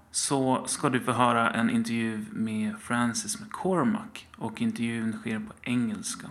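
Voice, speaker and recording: Noticeable background noise sits behind a man with a fairly high voice. He speaks fairly slowly, and his pitch swings very widely. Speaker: podcast host. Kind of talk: podcast intro. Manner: halting.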